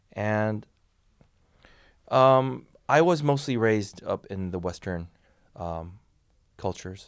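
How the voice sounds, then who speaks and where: The background is silent and the recording very clean. A man talks with ordinary rises and falls in pitch. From South Korea, childhood in the US and France. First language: Korean. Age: 40s. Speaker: crypto exchange ambassador. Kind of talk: interview. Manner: halting, many fillers.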